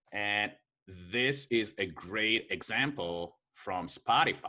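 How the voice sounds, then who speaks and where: A very slow man's voice, fairly low in pitch and bright and sharp in tone, with ordinary pitch variation on a very clean recording with a silent background. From Israel. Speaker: marketing consultant and show host. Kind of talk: casual chat over drinks.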